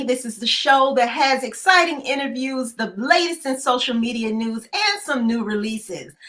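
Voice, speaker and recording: With hardly any pauses, a woman talks at a moderate pace and a high pitch. Noticeable background noise runs underneath. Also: lively intonation. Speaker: show host. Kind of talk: live talk show hosting and interview questions.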